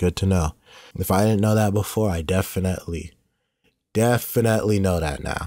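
A man's very deep, low voice with a dark, mellow tone, fairly quick pace, ordinary pitch variation and long, frequent pauses. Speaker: gaming YouTuber. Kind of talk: let's play commentary. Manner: casual, profane.

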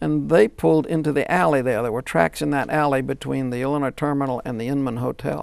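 A man with an American accent talks at a very fast pace with hardly any pauses and ordinary pitch variation. The background is quiet, and the sound is dry with no echo. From US South, Louisiana (Shreveport). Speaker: retired professor and streetcar historian. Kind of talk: interview. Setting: studio. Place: studio. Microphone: lapel.

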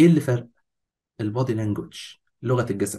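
A man with an Egyptian accent talks in an animated tone, sounding somewhat breathy. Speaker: fitness course instructor. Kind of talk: lecture.

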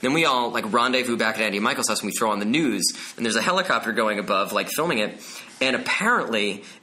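Over noticeable background noise, a man speaks with an American accent. His pitch sits in the medium range. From New Jersey, Bergen County. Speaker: Broadway actor. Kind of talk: casual chat.

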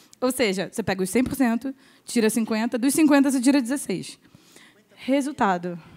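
A woman speaks at a fairly slow pace. Her voice is high-pitched and her intonation is lively. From Rio de Janeiro, Brazil. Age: 20s. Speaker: drummer. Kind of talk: panel discussion.

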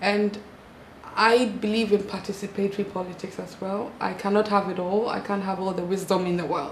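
A woman speaks at a fairly quick pace, her pitch in the medium range and her intonation flat and monotone. Some room echo can be heard, along with light background noise. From Ghana. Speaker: lawyer and parliamentary candidate. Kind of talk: interview. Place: home room. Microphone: lapel.

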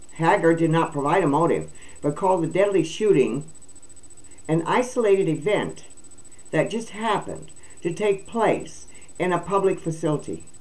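With vocal fry and a fairly low pitch, a woman talks in long, frequent pauses. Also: ordinary pitch variation, moderate pace. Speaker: video channel host. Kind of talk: reading news aloud with commentary. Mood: indignant, opinionated. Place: home room. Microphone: webcam.

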